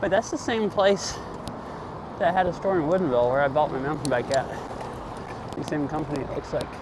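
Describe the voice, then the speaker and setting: Over noticeable background noise, a man with fairly high pitch and ordinary pitch variation talks at a fairly quick pace with long, frequent pauses. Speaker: IRL streamer. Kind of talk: casual live-stream chat while biking. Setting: outdoors on a bike. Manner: casual, rambling with fillers.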